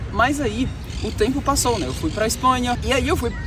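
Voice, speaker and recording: A man talks at moderate speed, with audible room echo and noticeable background noise around him. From Brazil, Minas Gerais (Betim). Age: 20s. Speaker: travel vlogger, programmer. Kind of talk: vlog storytelling. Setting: outdoors walking in city streets. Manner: casual conversational.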